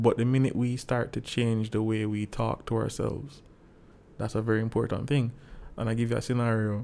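This man's voice has a dark, mellow tone at a medium pitch. His intonation is monotone and flat. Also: fairly quick pace. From Jamaica, Saint Andrew parish. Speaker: clinical psychologist and minister. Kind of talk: podcast interview.

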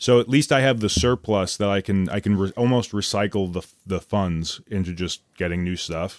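An unremarkable speaking voice moves at a moderate pace with hardly any pauses and ordinary pitch variation on a very clean recording with a silent background. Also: man, fairly low pitch for a man. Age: 20s. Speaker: podcast host and comedian. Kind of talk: casual chat.

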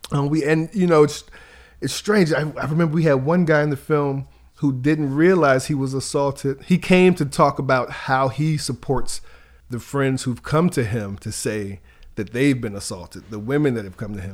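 On a very clean recording with a silent background, a man speaks with a plain, everyday voice at a fairly high pitch. His intonation is lively and his pace moderate. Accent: American. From Virginia, US South. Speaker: filmmaker and children's media creator. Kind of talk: interview conversation.

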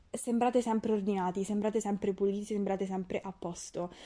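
With a dark, mellow tone, a woman talks at a medium pitch and with fairly even intonation. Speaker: podcast host, nutrition student. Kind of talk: casual chat. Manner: fast.

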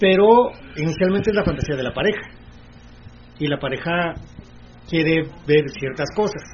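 There is noticeable background noise as a man speaks in a high voice with ordinary pitch variation. He keeps a moderate pace, with long, frequent pauses. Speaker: radio host. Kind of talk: casual chat.

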